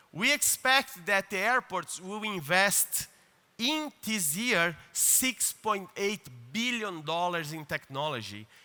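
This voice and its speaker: Music plays in the background while a man talks at a very slow pace with lively intonation. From Brazil. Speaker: aviation industry executive. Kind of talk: conference talk.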